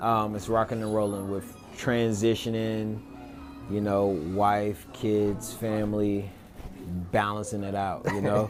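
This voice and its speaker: Music plays in the background and room echo is audible as a speaker with an American accent talks at a fairly slow pace in a monotone, flat intonation. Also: man, fairly low pitch for a man. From North Carolina, Greensboro. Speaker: podcast host, realtor. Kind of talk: casual interview.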